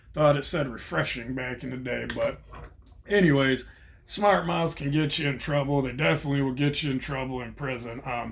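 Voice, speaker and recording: Room echo is audible as a man talks at a moderate pace. His pitch is medium, with ordinary pitch variation. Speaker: vlogger, former prisoner. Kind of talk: casual monologue.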